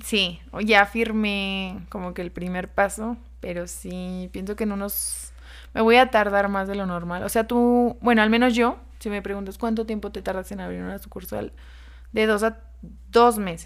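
Recorded very cleanly against a silent background, a woman talks at a fairly slow pace with big swings in loudness. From Guerrero, Mexico. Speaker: restaurant founder. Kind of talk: interview.

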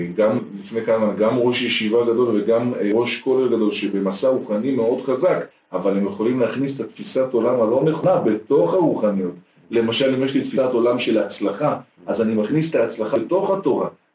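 A man with a plain, everyday voice speaks at a moderate pace and medium pitch, with ordinary pitch variation and very even loudness. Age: 40s. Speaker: spiritual counselor and teacher. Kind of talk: interview.

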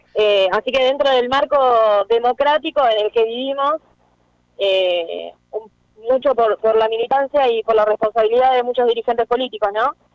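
With an unremarkable speaking voice, a woman talks at a moderate pace, her pitch fairly high, varying in an ordinary way, and her loudness very even. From Argentina, La Matanza (Greater Buenos Aires). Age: 20s. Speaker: politician. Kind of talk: interview.

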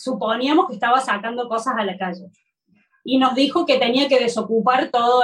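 A woman with a Córdoba accent speaks with ordinary pitch variation. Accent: Córdoba accent, noticeable. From Argentina, Córdoba. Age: 40s. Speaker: textile artisan. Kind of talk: interview.

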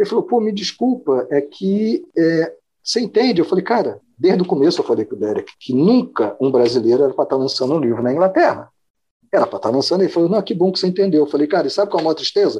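The voice has a dark, mellow tone and very wide pitch swings. It moves at a very fast pace. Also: man, high pitch for a man. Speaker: biologist and music writer. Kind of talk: casual interview chat.

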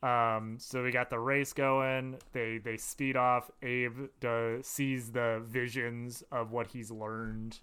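With an American accent, a man speaks at a very slow pace with hardly any pauses. His medium-pitched voice stays monotone and flat. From US Midwest, Madison, Wisconsin. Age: 20s. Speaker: podcast co-host. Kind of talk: casual chat.

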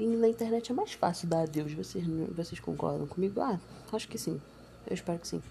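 A fairly low-pitched woman's voice at a fairly quick pace, with ordinary pitch variation, long, frequent pauses and noticeable background noise. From Brazil, Nova Iguaçu, Baixada Fluminense (Rio de Janeiro). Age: young. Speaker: podcaster. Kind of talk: personal monologue. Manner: casual, hesitant.

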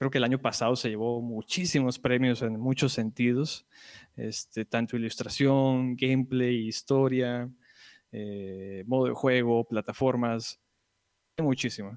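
A man of medium pitch at a fairly slow pace, with fairly even intonation and a dry, close sound with no echo. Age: 20s. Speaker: podcast guest, video game fan. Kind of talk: casual chat.

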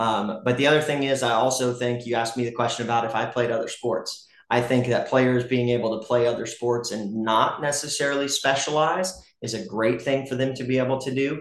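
Someone with an American accent speaks at a fairly quick pace with fairly even intonation. Audible room echo can be heard. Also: man, medium pitch for a man. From US South, Gwinnett County, Georgia. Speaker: high school baseball coach. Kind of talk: casual interview. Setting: in a home kitchen.

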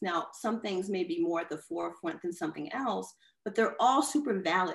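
The voice carries vocal fry and very wide pitch swings. It moves at a moderate pace. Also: woman. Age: 40s. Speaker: artist and designer. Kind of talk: casual interview. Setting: video call.

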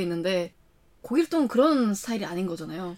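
Very wide pitch swings mark this woman's animated tone. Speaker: podcast co-host. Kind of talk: casual chat.

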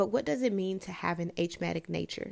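A woman speaks in a Memphis accent. Her pace is moderate. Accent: Southern US (Memphis). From US South, Memphis, Tennessee. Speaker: podcast host. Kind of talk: solo casual monologue. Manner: chatty, laughing.

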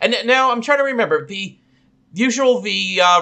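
In a raised, projected voice, a man talks at a very fast pace with lively intonation. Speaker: podcast co-host. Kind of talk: casual chat.

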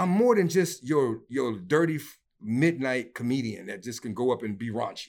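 A man with an ordinary speaking voice talks at a medium pitch and a moderate pace, using lively intonation. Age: 50s. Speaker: comedian. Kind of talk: casual chat.

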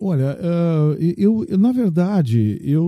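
Music plays behind a man speaking at a fairly high pitch. His pitch swings very widely. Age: 60s. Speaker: state legislator, lawyer and radio journalist. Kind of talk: interview.

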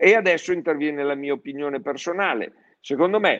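At a moderate pace, a man with a fairly high pitch talks in a normal speaking voice, his pitch varying in an ordinary way. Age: 60s. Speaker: plastics distribution executive. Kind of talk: public live-streamed conversation. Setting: live stream.

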